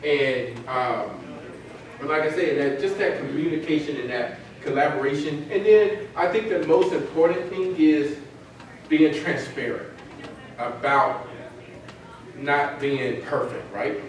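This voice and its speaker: A man with a Southern US accent speaks in an animated tone with ordinary pitch variation and long, frequent pauses. There is noticeable background noise and audible room echo. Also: fairly high pitch for a man, fairly slow pace. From Mississippi. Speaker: company CEO, conference speaker. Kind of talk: conference presentation. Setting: conference breakout session. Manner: animated, repetitive stammering.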